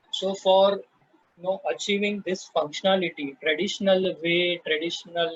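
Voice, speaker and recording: A man with an Indian accent speaks at a high pitch, the sound dry and close with no echo. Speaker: software presenter. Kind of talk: tutorial. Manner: slow; halting.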